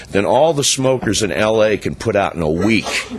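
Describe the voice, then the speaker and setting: A man speaks with lively intonation at a moderate pace and a fairly low pitch. Noticeable background noise can be heard. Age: 60s. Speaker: public commenter at council meeting. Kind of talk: public comment speech.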